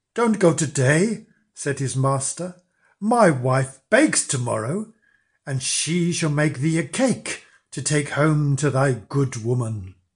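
A man speaks at a very slow pace with a fairly high pitch and a theatrical tone. His voice is somewhat breathy, his intonation lively, and the background quiet. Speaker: storyteller. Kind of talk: fairy-tale narration, read aloud with character voices. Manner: slow, storyteller's pace, dark and theatrical.

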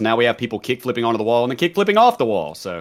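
A man at medium pitch with a slight Southern US accent, speaking at a very fast pace in a very clean recording with a silent background. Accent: mild Southern US. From US South, college town. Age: 30s. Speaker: gamer and streamer, former prisoner. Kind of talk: casual chat.

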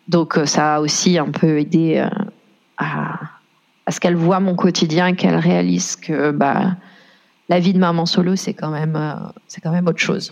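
A woman's fairly low-pitched voice. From France. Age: 30s. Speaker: single mother. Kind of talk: personal testimony interview.

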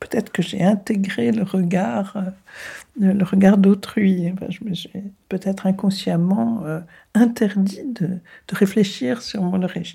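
The voice is somewhat breathy with a dark, mellow tone, moving very slowly with long, frequent pauses. The recording is very clean, the background silent. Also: woman, medium pitch for a woman, ordinary pitch variation. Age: 80s+. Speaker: granddaughter of a deportee. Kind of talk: interview. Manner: halting.

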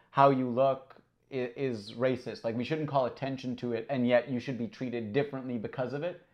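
This man has a normal speaking voice. His pitch sits in the medium range. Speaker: podcast host. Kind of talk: casual chat.

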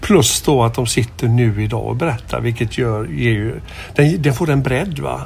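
With music in the background, a man delivers his words at a moderate pace. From Gothenburg, Sweden. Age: 50s. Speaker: film podcast host. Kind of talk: interview.

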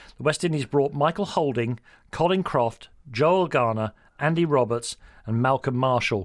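At a moderate pace, a man with a fairly high pitch keeps his loudness very even, with ordinary variation in pitch. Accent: London. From London. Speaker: radio sports host. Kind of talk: interview.

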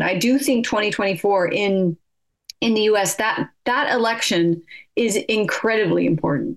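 In an American accent, a woman with an ordinary speaking voice talks at a moderate pace, her fairly high pitch showing ordinary variation. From California, US. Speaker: politics professor. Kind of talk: radio interview.

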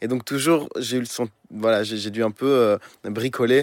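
Recorded dry and close with no echo against a silent background, this very clean clip has a man speaking with ordinary pitch variation. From Belgium, Brussels. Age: 20s. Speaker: musician. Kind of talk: interview. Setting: studio in Paris. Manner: halting.

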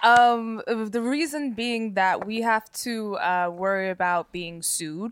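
With hardly any pauses, a woman talks at a very slow pace in a fairly high voice with ordinary pitch variation. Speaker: actress and comedian, podcast host. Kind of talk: casual chat.

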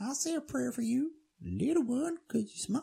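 A squeaky, high-pitched put-on character voice moves along at a moderate pace. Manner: sweet, pleading.

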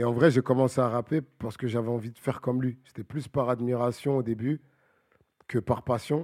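A man speaks fairly quickly at a medium pitch with fairly even intonation, in an ordinary speaking voice. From Paris suburbs, Bagneux. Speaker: rapper. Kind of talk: casual chat.

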